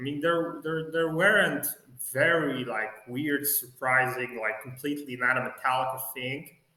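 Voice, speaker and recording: With a Polish accent and ordinary pitch variation, a man speaks in a fairly high voice amid audible room echo. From Poland. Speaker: music fan vlogger. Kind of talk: casual video review. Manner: halting, with many fillers.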